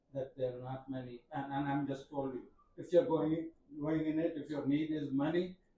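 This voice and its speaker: A man with a fairly high pitch speaks at a moderate pace in a flat, monotone way, sounding somewhat breathy. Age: 80s+. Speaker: journalist. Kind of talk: workshop panel talk. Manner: halting.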